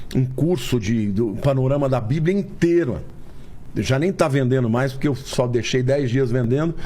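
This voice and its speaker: Slightly breathy with a dark, mellow tone, a man speaks at a very even loudness with ordinary pitch variation amid audible room echo. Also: medium pitch for a man, moderate pace. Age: 60s. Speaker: pastor. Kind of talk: podcast interview.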